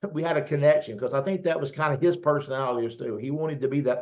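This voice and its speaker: This man talks at a very fast pace with hardly any pauses. His pitch is fairly high. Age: 60s. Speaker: network marketing host. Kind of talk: casual interview chat.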